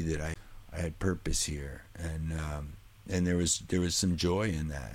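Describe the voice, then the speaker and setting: A man with a very deep, low pitch talks at a moderate pace with fairly even intonation. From New Hampshire. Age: 50s. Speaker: singer and musician. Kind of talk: casual interview conversation.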